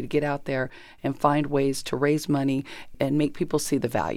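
A woman's very deep, low voice with a Californian accent at a moderate pace. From Southern California (Chino). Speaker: former state senator and station executive director. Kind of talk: interview.

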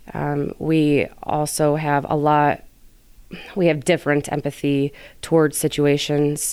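A woman's very deep, low voice in a monotone with flat intonation, on a very clean recording with a silent background. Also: fairly slow pace. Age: 30s. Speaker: police officer. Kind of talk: interview.

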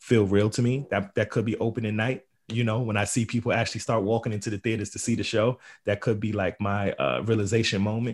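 An unremarkable speaking voice from a man at a fairly quick pace. The recording is very clean, with a silent background. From Queens, New York. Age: 30s. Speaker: playwright. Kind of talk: interview.

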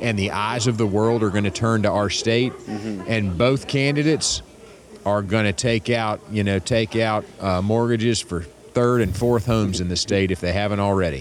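Fairly low for a man, this is an unremarkable speaking voice, moving at a moderate pace with ordinary pitch variation. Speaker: political strategist. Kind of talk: interview. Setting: airport terminal.

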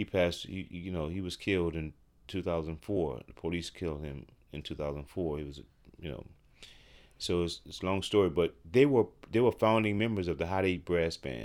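A man in a New Orleans accent, very deep and low in pitch, at a fairly quick pace, with ordinary pitch variation and big swings in loudness. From New Orleans, Louisiana. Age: 60s. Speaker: professional drummer. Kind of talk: interview conversation. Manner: halting, many fillers.

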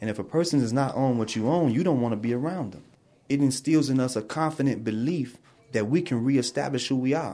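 A man talks at a very fast pace in an American accent against a quiet background. His tone is dark and mellow, at medium pitch with ordinary pitch variation. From Chicago, South Side. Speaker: prison student. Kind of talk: interview testimony. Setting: prison.

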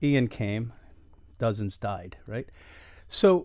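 His delivery has lively intonation. The speaker, a man, talks with an American accent. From Miami, US. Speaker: artist. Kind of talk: radio interview. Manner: animated.

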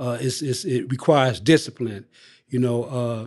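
An ordinary speaking voice from a man with an American accent, medium in pitch, at a moderate pace over a quiet background. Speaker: incarcerated man seeking parole. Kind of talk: interview.

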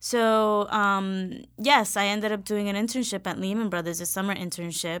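A woman with a normal speaking voice at medium pitch, fairly even intonation and a moderate pace, in a very clean recording with a silent background. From New York, South Bronx. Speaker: education nonprofit director. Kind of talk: interview.

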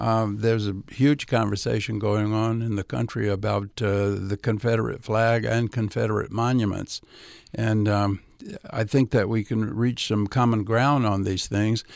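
A man's fairly low voice with a Southern US accent, fairly even intonation and a moderate pace, on a very clean recording, silent background. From US South. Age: 70s. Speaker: civil rights activist and author. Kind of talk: radio interview. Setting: studio.

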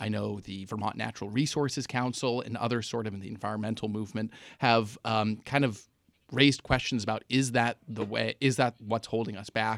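A man speaks at a fairly quick pace with medium pitch and fairly even intonation, in an unremarkable speaking voice. The recording is very clean, with a silent background. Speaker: political reporter. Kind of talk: radio panel discussion. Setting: studio.

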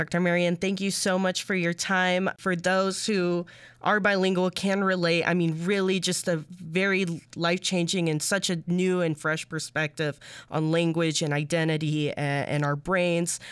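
Here a woman speaks at a moderate pace with monotone, flat intonation. Her loudness stays very even. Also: very clean recording, silent background. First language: Spanish. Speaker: radio reporter. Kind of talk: interview.

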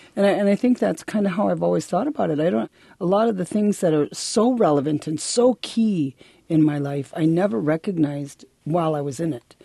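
A woman with an American accent at a fairly low pitch and fairly quick pace, with very wide pitch swings and a dry, close sound with no echo against a quiet background. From Milwaukee, Wisconsin (urban US Midwest). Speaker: college dean, Ojibwe educator. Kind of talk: interview. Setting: radio studio.

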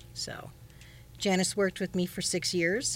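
In a plain, everyday voice, a woman speaks with an American accent. Her pitch is medium and her pace moderate. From Chicago, Wrigleyville. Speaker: chef and food safety instructor. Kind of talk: radio interview.

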